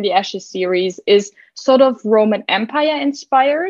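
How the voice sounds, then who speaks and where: A moderate pace and lively intonation. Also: woman. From Germany. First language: German. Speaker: book podcaster. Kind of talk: casual chat.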